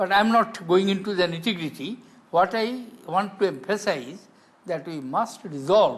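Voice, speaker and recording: With an Indian accent, a man speaks at a fairly slow pace with lively intonation. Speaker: politician, former head of state. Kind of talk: interview answer.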